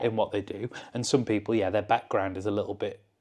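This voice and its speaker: A medium-pitched man's voice in a Cumbrian accent, with fairly even intonation and a quiet background. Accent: northern English (Cumbrian). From Lake District, England. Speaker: mountaineer and expedition leader. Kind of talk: interview answer.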